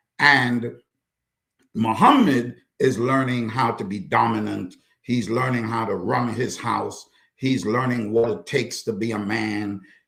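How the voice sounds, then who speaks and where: Speaking at a fairly slow pace, a man with an American accent has a medium pitch and a bright, sharp tone. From US Midwest (Chicago). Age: 60s. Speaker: author and counselor. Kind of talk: interview conversation. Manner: animated.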